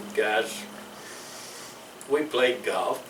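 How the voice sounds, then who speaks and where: A man speaks in a Louisiana accent. Room echo is audible, and there is noticeable background noise. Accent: Southern US, Louisiana. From US South. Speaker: war veteran. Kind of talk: interview. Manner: halting.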